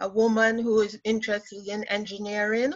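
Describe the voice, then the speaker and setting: A woman speaks with a non-native accent and a fairly high pitch. Her tone is bright and sharp. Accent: foreign accent, still noticeable. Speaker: engineer panelist. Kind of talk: panel discussion. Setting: conference call.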